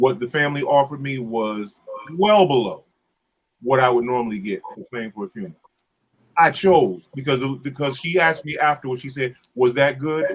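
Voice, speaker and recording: This is a man with a plain, everyday voice at a medium pitch. He speaks at a fairly quick pace. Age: 60s. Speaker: church musician. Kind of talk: casual chat.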